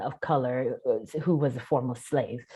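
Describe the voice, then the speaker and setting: Over a quiet background, the speaker talks with a slight Southern US accent. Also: woman. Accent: slight Southern lilt. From US South. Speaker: actress. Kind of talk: Q&A discussion. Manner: presentational.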